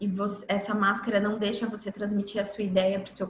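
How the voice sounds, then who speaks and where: Over noticeable background noise, a woman with a medium pitch speaks at a fairly quick pace. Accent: Minas Gerais. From Minas Gerais, Brazil. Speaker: workshop instructor. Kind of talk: online lecture.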